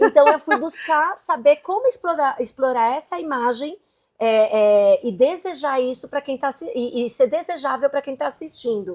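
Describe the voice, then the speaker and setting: On a very clean recording with a silent background, a woman speaks at a high pitch. Her pace is moderate and her intonation lively. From Brazil. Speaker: entrepreneur and digital content creator. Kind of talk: interview.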